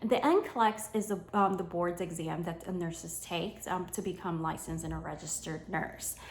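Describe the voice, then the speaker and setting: With noticeable background noise behind her, a woman with an American accent speaks in an animated tone. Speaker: homeschooling mom and content creator. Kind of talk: sponsored tutorial vlog. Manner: casual, animated.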